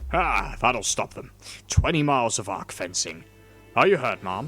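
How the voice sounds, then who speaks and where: Put-on gruff character voice with very wide pitch swings, big jumps in loudness and a moderate pace over faint background music. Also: man, medium pitch for a man. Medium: read story. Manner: commanding, hearty.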